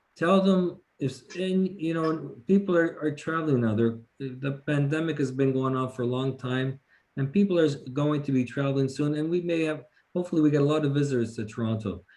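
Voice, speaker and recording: A man talks fairly quickly at a fairly high pitch, with ordinary pitch variation. It is a plain, everyday voice. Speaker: police officer. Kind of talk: community lecture.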